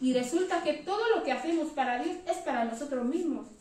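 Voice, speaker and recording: A woman speaks at a high pitch and a moderate pace, with ordinary pitch variation. Room echo is audible in the recording. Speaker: church member giving a reflection. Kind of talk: testimony.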